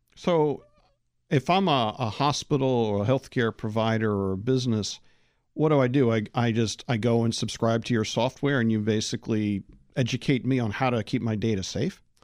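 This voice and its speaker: A man talks at a moderate pace in an ordinary speaking voice, medium in pitch with ordinary pitch variation and very even loudness. The recording is very clean, with a silent background. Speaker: podcast host. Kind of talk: interview.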